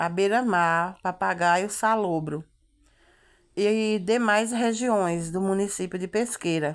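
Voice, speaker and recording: Ordinary rise and fall in a woman's voice, over a quiet background. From Brazil, rural Northeast (Pernambuco interior). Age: 40s. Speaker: lifestyle vlogger. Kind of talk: casual travel vlog. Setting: in a car. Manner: chatty, repetitive fillers. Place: car. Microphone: phone near.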